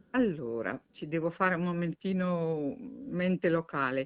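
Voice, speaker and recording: Her intonation lively, a woman talks in a fairly low pitch. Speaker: retired opera soprano. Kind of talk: interview. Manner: halting, repeats words.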